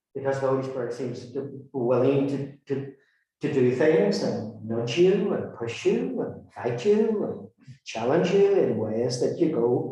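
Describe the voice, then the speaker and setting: Speaking in a Northern Irish accent, a man talks at a fairly slow pace with a dark, mellow tone and lively intonation. His voice is somewhat breathy, with audible room echo. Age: 60s. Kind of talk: talk to a community group. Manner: halting, frequent repetitions.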